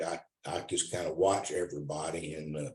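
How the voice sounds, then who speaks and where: A man speaks at a fairly slow pace with a Southern US accent. His voice is somewhat breathy, with ordinary pitch variation. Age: 60s. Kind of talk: casual testimony. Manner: halting, many repetitions and restarts.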